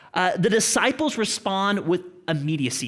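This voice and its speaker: Lively in intonation, a man with an Oklahoma accent speaks at a high pitch. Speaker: pastor. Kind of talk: sermon. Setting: church with congregation.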